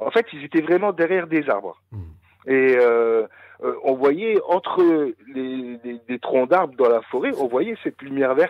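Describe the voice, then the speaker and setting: A man's fairly high-pitched voice at a fairly slow pace, with lively intonation and big swings in loudness. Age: 40s. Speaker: caller telling UFO encounter. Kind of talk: testimony. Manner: halting.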